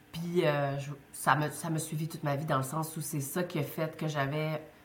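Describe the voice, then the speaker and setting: A woman's very deep, low voice with fairly even intonation and audible room echo. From Quebec, Côte-Nord. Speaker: business school director. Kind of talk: interview conversation.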